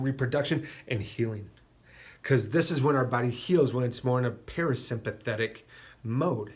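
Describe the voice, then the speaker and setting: Somewhat breathy speech from a man, with ordinary pitch variation. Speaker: chiropractor. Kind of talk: health talk to camera. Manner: fast.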